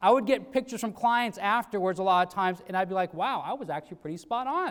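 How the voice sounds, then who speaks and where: A loud man at a fairly quick pace, with ordinary pitch variation. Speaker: sales trainer. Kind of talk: motivational talk. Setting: stage with audience. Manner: animated.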